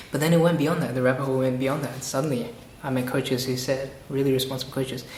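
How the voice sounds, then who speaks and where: Animated and very fast, a man speaks with ordinary pitch variation amid noticeable background noise and audible room echo. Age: young. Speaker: copywriter and coach. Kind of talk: casual interview.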